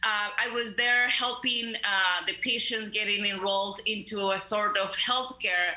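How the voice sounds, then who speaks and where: The pace is fairly slow. Audible room echo and noticeable background noise are present. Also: woman. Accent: Mexican. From Mexico (León, Guanajuato). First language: Spanish. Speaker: community center director, labor activist. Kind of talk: radio interview.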